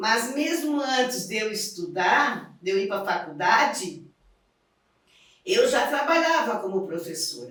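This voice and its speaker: A woman with a fairly high pitch speaks at a very slow pace, her voice making very wide pitch swings. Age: 70s. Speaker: retired teacher. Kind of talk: documentary interview.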